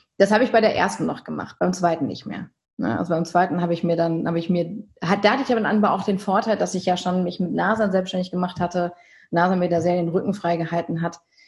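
A woman speaks at a very fast pace. Her voice is fairly low in pitch and somewhat breathy. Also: fairly even intonation. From Germany, Münsterland. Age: 30s. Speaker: company director and event organizer. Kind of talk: interview. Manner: hesitant, many fillers.

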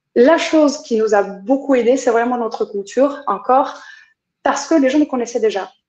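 Woman with a high pitch and ordinary pitch variation. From France and Brazil. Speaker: company culture coordinator. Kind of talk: interview.

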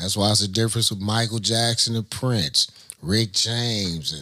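With an American accent, a man talks at a moderate pace, his medium-pitched voice bright and sharp in tone, with ordinary pitch variation. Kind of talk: casual interview chat.

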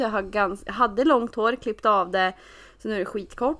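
A woman with a medium-pitched voice and ordinary pitch variation talks against a quiet background. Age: 20s. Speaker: podcast co-host. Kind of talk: casual chat.

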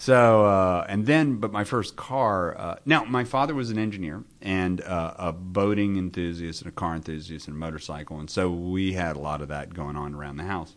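A man with an American accent and a very deep, low pitch talks at a moderate pace with lively intonation and hardly any pauses, over a quiet background. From US South. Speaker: automotive columnist. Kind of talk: interview. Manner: hesitant, many fillers.

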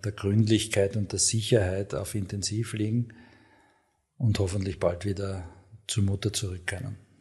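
Somewhat breathy and fairly low in pitch, a man speaks in a monotone, flat intonation. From Austria, Graz (Styria). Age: 50s. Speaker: hospital medical director, ENT surgeon. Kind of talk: interview. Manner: hesitant, many filler sounds.

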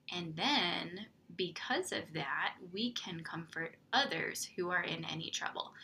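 With an unremarkable speaking voice, a woman talks at a fairly slow pace in a fairly low pitch, her intonation lively. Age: 30s. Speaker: podcast host and mom coach. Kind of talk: faith devotional talk.

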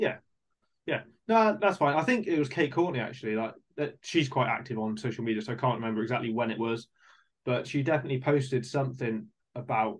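With a British accent, a man at medium pitch talks at a very fast pace with lively intonation. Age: 30s. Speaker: podcast host, amateur mountain biker. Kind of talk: casual interview.

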